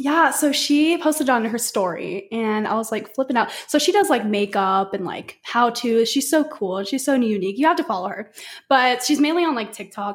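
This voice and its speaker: A woman's high-pitched voice at a moderate pace. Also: hardly any pauses. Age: 20s. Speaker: social media content creator. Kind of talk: casual chat. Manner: animated.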